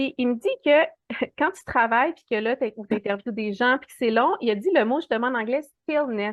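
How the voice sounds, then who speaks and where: Intonation is lively and the pace moderate. Loudness swings widely throughout. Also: woman, high pitch for a woman. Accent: Quebec. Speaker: animal communicator. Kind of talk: casual interview.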